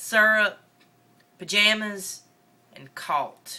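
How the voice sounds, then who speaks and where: A woman with a northern Mississippi accent speaks very slowly in a bright, sharp tone. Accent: Southern US, northern Mississippi. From northeast Mississippi. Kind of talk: casual talk to camera. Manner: rambling, casual.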